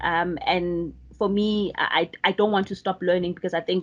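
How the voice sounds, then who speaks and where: An ordinary speaking voice from a woman, at a moderate pace. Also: quiet background. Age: young. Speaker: data professional. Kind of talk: panel self-introduction.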